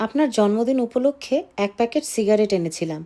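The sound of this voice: Listen to an unforced reading voice. That is what this clip carries.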